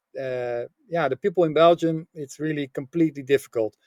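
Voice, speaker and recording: A Dutch accent at a moderate pace, with ordinary pitch variation and a dry, close sound free of echo. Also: man. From Netherlands. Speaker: business author and coach. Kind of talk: podcast interview. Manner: halting, many fillers.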